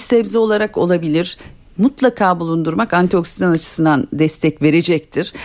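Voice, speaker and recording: Speaking with lively intonation at a moderate pace, a woman has a plain, everyday voice. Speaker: dietitian. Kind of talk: call-in health advice. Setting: radio studio.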